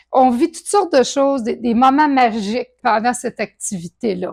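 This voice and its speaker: In a Quebec accent, a woman with a high pitch and lively intonation is heard in a very clean, dry, close recording with no echo and a silent background. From Quebec, Saguenay. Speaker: charity co-founder. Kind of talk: testimony. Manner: halting.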